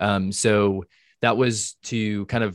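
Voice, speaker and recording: The monotone, flat delivery is captured in a very clean recording with a silent background and a dry, close sound with no echo. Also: man. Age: 30s. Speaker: exercise science researcher. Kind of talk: interview.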